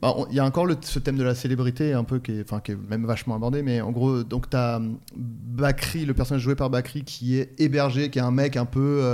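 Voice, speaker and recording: A man with a normal speaking voice talks at a fairly quick pace and medium pitch, with fairly even intonation. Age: 40s. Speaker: podcast co-host. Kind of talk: casual chat about comedy films.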